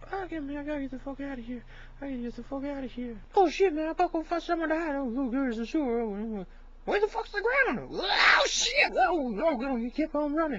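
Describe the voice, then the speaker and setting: The woman talks at a fairly quick pace in a high voice, with very wide pitch swings and big swings in loudness. Clear background noise runs underneath. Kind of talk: comic overacting parody dub. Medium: fan dub. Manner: frantic, panicky.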